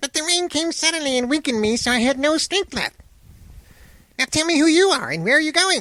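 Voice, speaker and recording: In a squeaky, put-on character voice, a man talks at a very fast pace and an extremely high pitch. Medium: read story.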